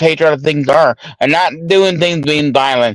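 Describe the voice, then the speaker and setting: A man speaks loudly. The sound is dry and close, with no echo. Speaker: livestream host. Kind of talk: casual panel discussion.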